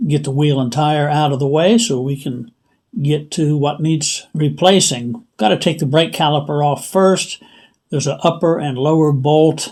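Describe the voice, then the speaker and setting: In a very clean recording with a silent background, a man with an ordinary speaking voice and a fairly high pitch talks at a moderate pace with ordinary pitch variation. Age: 60s. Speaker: DIY tutorial channel host. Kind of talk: tutorial. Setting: outdoors in driveway.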